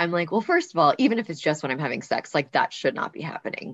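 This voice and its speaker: An unremarkable speaking voice moves at a fairly quick pace. The background is quiet. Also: woman. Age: 30s. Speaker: podcast co-host and endometriosis patient. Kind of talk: personal testimony.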